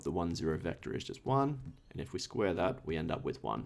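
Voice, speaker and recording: Vocal fry at a moderate pace with very wide pitch swings. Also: man. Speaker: tutor. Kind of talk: tutorial. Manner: casual.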